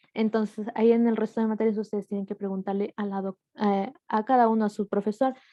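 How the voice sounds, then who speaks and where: At a fairly quick pace, a woman speaks at a fairly high pitch in a monotone, flat intonation. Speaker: medical student. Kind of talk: casual online meeting talk. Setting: video call. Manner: fast.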